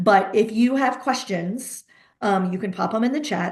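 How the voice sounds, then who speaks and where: Medium-pitched female voice in audible room echo, pitch varying in an ordinary way. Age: 50s. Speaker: pediatric therapy practice owner, webinar host. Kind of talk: webinar presentation. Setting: video call webinar. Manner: fast; animated.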